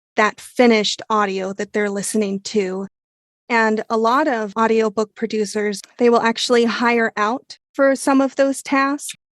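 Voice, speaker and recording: Delivered at a fairly slow pace, the speech has fairly even intonation and a dry, close sound with no echo. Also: woman, fairly high pitch for a woman. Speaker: audiobook narrator and producer. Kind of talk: interview.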